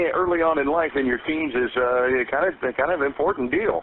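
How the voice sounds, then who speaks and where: With an American accent and a confident tone, a man speaks at a fairly high pitch over noticeable background noise. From United States, Midwest. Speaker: radio show host and voice actor. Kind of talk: morning radio show host interviewing a guest. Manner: conversational, confident, polished broadcaster delivery.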